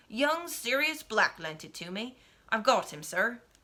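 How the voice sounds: Putting on a gruff character voice, a woman speaks at a fairly high pitch. Her pace is moderate.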